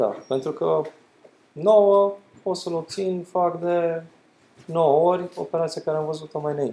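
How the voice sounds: A man with a dark, mellow tone and vocal fry speaks at a fairly high pitch, his intonation lively.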